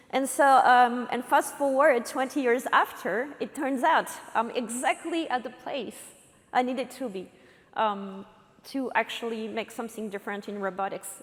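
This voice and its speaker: A woman with a French accent and a high pitch speaks at a moderate pace with ordinary pitch variation, against noticeable background noise. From France. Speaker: robotics company co-founder and CTO. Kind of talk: conference talk. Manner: halting, many fillers.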